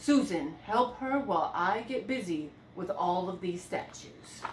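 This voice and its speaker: A woman's put-on character voice at medium pitch and a fairly slow pace, with clear background noise. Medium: read story. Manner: calm, grave, authoritative.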